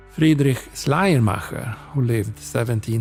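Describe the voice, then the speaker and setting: A man's calm voice at medium pitch, with very wide pitch swings and music in the background. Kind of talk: sleep reading of encyclopedia text. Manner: slow, calm.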